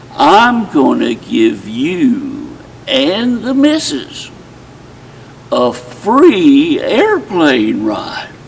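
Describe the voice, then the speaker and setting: Very slow speech from a man, over noticeable background noise. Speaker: retired professional storyteller, retirement community resident. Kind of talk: folksy storytelling with character voices.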